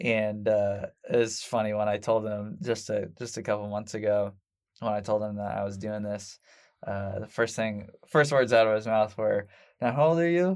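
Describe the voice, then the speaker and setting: A man with a Midwestern American accent, fairly low in pitch with ordinary pitch variation, at a moderate pace on a very clean recording with a silent background. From Indianapolis, Indiana (Southport). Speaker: marketing agency founder. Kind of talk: interview. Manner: casual, hesitant with fillers.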